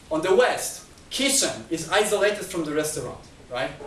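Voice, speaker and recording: A man with a high pitch speaks at a moderate pace. The recording has audible room echo and noticeable background noise. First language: not Chinese. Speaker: lecturer. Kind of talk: lecture. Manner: halting.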